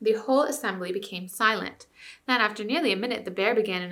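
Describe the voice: This clip is plain reading aloud. Nothing else stands out.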